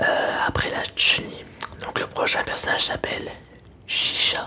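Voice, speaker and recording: Whispering at a fairly slow pace, a man is heard against noticeable background noise. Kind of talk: casual talk to camera. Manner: whispered.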